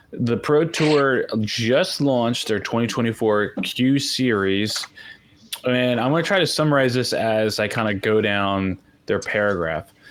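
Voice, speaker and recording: Over noticeable background noise, a man talks at a fairly slow pace and medium pitch, with very even loudness and ordinary pitch variation. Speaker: disc golf podcast host. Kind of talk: casual podcast chat. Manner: halting.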